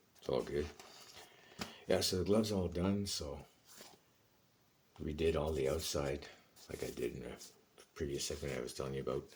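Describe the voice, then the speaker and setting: Delivered at a moderate pace with long, frequent pauses, this man's very deep, low voice shows vocal fry and ordinary pitch variation. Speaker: hockey goalie and equipment hobbyist. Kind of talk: casual vlog talk. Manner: hesitant, many fillers.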